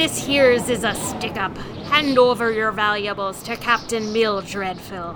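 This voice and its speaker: A female-sounding voice performs a put-on character voice at a fairly slow pace. Background noise is clear. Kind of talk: put-on pirate growl. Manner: blustering, theatrical.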